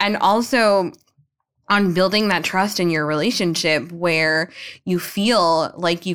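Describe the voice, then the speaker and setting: Speaking at a fairly slow pace with a fairly low pitch and ordinary pitch variation, a woman has a plain, everyday voice, recorded very cleanly against a silent background. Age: 30s. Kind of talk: casual chat.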